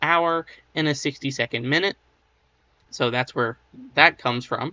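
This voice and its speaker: A man's voice, fairly high in pitch. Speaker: history educator. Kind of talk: casual educational talk. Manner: subdued, less enthusiastic than usual.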